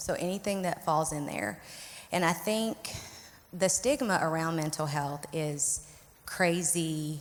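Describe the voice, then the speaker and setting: This woman has a Southern US accent and a fairly low pitch. She talks at a fairly slow pace with ordinary pitch variation. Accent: Southern drawl. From Arkansas, US South. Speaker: licensed clinical social worker, therapist. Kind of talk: panel interview.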